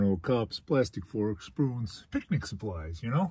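A man's somewhat breathy voice comes across dry with no echo against a quiet background. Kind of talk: casual vlog chat. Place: car. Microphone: phone near.

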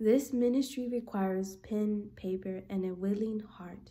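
A woman talks with fairly even intonation. Her tone is dark and mellow. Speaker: book reader vlogger. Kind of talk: reading aloud. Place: home room. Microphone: phone near.

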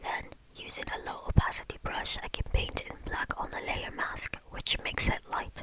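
Someone whispers at a moderate pace over noticeable background noise. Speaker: architecture tutor. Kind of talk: ASMR whispered software tutorial. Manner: whispered.

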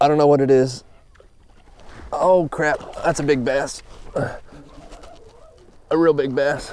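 With a dry sound and no echo over light background noise, a man speaks very slowly in a monotone, flat way. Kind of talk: casual fishing commentary. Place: waterside. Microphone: phone near.

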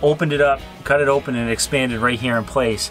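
A man speaks at a fairly quick pace with fairly even intonation. Faint music plays in the background. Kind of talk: interview answer.

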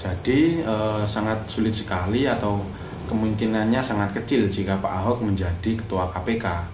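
Noticeable background noise behind a man's fairly low voice, ordinary pitch variation and very even loudness. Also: moderate pace. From Indonesia, Blitar (East Java); East Java, Indonesia. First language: Javanese (speaking Indonesian). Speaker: YouTuber; vlogger. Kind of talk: political commentary vlog; casual opinion vlog chat. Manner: halting, many filler sounds. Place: home room. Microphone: phone near.

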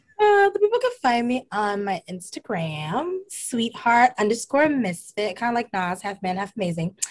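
With an American accent, a woman talks at a moderate pace with hardly any pauses. Her fairly high voice moves in very wide pitch swings. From Brooklyn, New York; New York. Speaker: mental health professional and aspiring DJ; podcast guest. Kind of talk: casual chat; casual interview chat. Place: home room. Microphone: video call.

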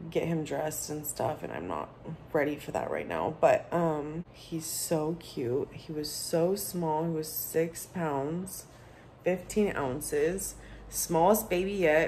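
The speech comes at a fairly slow pace with fairly even intonation. Light background noise can be heard. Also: woman. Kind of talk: casual vlog chat. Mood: content, tender. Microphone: phone near.

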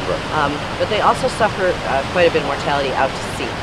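Over loud background noise, a woman talks at a very fast pace with ordinary pitch variation, the sound dry with no echo. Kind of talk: interview answer. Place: waterside.

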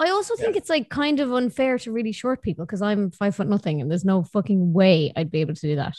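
In an Irish accent, a woman speaks at a very fast pace with hardly any pauses and very wide pitch swings, the sound dry with no echo and the background quiet. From Ireland. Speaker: podcast host. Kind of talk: casual interview chat. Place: home room. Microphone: studio mic.

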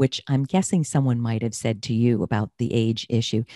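A woman's voice comes through dry, with no echo. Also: quiet background. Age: 60s. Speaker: career coach and podcast host. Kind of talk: interview. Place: home room. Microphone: studio mic.

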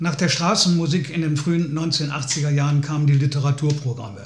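This man's voice sits fairly high and is somewhat breathy, moving at a moderate pace with ordinary pitch variation and audible room echo. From Lower Rhine region, Germany; Germany. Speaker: folk singer-songwriter. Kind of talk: personal storytelling. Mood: calm, reflective storytelling. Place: home room.

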